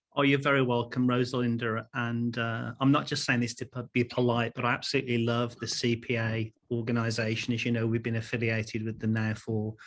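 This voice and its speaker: A man speaks with an English accent at a fairly quick pace. He barely pauses at all. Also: medium pitch for a man. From England. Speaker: keynote speaker and corporate trainer. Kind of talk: keynote talk. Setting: virtual conference. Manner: animated.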